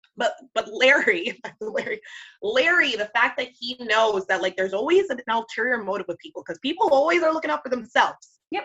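A woman speaks very fast in a raised, projected voice, high in pitch with a bright, sharp tone and very wide pitch swings. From Jamaican heritage. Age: 30s. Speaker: radio morning show producer. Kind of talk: casual chat.

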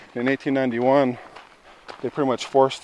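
Speaking with an American accent, a man talks at a medium pitch. The sound is dry and close with no echo, and there is noticeable background noise. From Washington, Colville Reservation. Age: young. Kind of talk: interview. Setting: outdoors.

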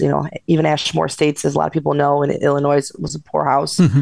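A woman with an American accent talks at a very fast pace, her voice showing vocal fry. Her intonation stays fairly even. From Chicago South Side. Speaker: paranormal investigator and author. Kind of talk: interview.

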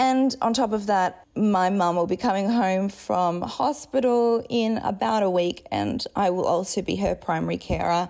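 In an Australian accent, a woman talks at medium pitch and a moderate pace with ordinary pitch variation, very even loudness and hardly any pauses, on a very clean recording with a silent background. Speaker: podcast host and memoir author. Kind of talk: casual intro monologue.

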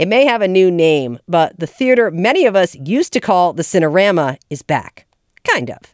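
With an American accent, a woman at a medium pitch swings her pitch very widely, recorded with a dry, close sound and no echo. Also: moderate pace. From New Jersey. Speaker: public radio podcast host. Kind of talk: news reading; radio interview.

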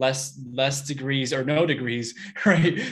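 Moderate pace and fairly high pitch in a man's voice. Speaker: podcast host. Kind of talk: interview. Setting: live online training. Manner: upbeat, enthusiastic.

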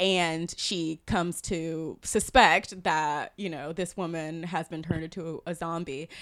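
A woman with an American accent speaks at a fairly slow pace and with fairly even intonation. The recording is very clean, with a silent background. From US South, South Carolina. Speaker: film critic. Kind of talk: casual film discussion. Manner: laughs often.

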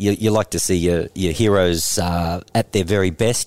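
Here a man with an Australian accent speaks at a moderate pace, fairly low in pitch with ordinary pitch variation. The sound is dry and close, with no echo. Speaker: former tennis player and TV presenter. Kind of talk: casual chat.

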